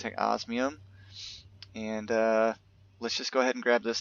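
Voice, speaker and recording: The speaker is a man. His pitch sits in the medium range. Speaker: gaming YouTuber. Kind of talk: gameplay commentary. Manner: fast; casual with many fillers.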